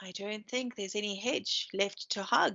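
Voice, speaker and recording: Putting on a character voice, a woman sounds gruff and rumbling at a medium pitch, talking at a moderate pace. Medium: read story. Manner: gruff, grumbling.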